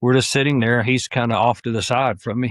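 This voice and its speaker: A man speaks with a Southern US accent at a fairly quick pace, his intonation fairly even. The sound is dry and close with no echo, over a quiet background. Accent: Southern US (Georgia). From US South, northwest Georgia. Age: 60s. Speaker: hunter, retired sheriff's deputy. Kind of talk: casual interview.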